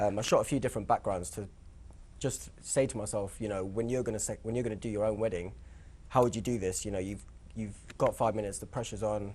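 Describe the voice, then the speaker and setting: Mumbling very fast, a man talks in a fairly low voice with fairly even intonation. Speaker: wedding photographer. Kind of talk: panel discussion. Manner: halting, mumbling.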